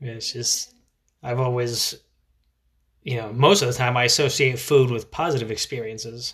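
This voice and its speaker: With long, frequent pauses, a man at a medium pitch speaks at a moderate pace and with fairly even intonation. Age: 30s. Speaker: parenting podcast host. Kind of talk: casual monologue. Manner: hesitant, many filler words.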